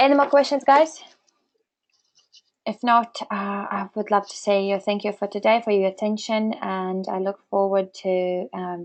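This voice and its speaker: This woman's voice sits at a medium pitch with ordinary pitch variation. She talks at a fairly slow pace. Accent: non-native. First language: not English. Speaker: webinar presenter. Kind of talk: webinar Q&A. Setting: webinar. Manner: halting.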